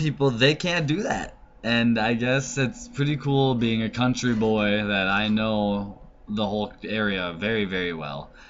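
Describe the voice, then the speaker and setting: A man's medium-pitched voice at a fairly slow pace with lively intonation. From US Upper Midwest, northern Minnesota. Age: 20s. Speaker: vlogger. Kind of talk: casual self-introduction monologue. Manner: casual, conversational.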